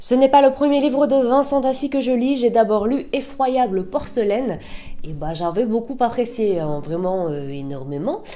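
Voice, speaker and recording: Her voice is high for a woman and swings very widely in pitch. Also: moderate pace. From northern France. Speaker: booktuber. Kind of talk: book review vlog. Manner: casual, chatty.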